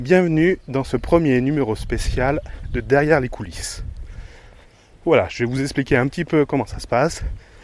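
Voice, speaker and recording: The speech moves at a moderate pace with vocal fry, big swings in loudness, and long, frequent pauses. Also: man, ordinary pitch variation. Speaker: podcaster. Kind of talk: casual monologue. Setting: outdoors, countryside. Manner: halting, stumbling.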